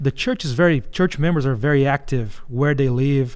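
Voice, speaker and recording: He speaks with a strong Brazilian accent. His voice sits fairly high for a man. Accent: heavy Brazilian Portuguese. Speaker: missions organization executive. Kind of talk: interview.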